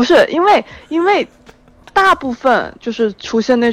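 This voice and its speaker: A woman's pitch swings very widely against noticeable background noise. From Haikou, Hainan. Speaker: caller, student abroad. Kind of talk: casual chat. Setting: phone call.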